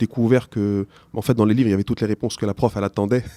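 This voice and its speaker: Very clean and silent in the background, the recording is dry and close with no echo, capturing a man with a non-native accent and a dark, mellow tone. He speaks at a very fast pace with a fairly low pitch and fairly even intonation. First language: not French (speaking French). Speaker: teacher. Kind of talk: interview. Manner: halting.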